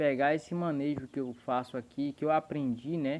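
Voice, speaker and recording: Ordinary pitch variation marks a man's speech, which keeps a moderate pace. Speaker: poultry breeder. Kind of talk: tutorial. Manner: speaking softly, low volume.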